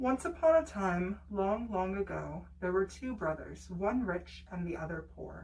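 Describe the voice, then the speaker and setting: Against noticeable background noise, a woman speaks at a fairly slow pace with hardly any pauses. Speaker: storyteller. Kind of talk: bedtime story reading.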